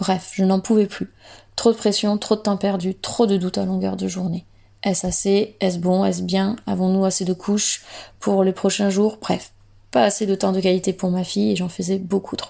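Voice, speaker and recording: At a moderate pace, a woman speaks at a medium pitch in a dark, mellow tone with monotone, flat intonation, on a very clean recording with a silent background. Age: 30s. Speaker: mother giving testimony. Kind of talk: reading aloud.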